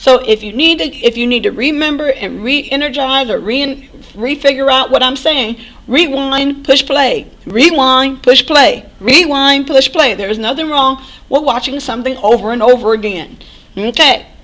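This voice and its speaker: A woman's high-pitched voice at a moderate pace, with ordinary pitch variation and noticeable background noise. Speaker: math instructor. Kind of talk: recorded lecture.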